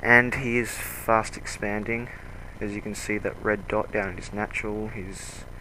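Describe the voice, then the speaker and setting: The speaker uses a monotone, flat intonation with an Australian accent. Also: man, fairly low pitch for a man, moderate pace. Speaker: video game commentator. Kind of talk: game commentary.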